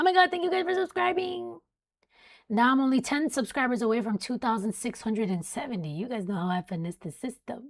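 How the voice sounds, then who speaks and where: In a very clean recording with a silent background, a woman with an American accent speaks at a fairly quick pace. Her fairly high voice has very wide pitch swings. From South Florida. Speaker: weather live streamer. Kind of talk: live stream commentary. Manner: casual, chatty. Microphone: close mic.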